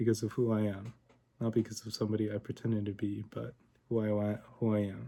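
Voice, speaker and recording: Soft-spoken and monotone, this man keeps his intonation flat, with a fairly low pitch and a fairly quick pace. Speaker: vlogger. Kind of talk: casual monologue vlog. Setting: home recording at night. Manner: quiet, talking softly late at night.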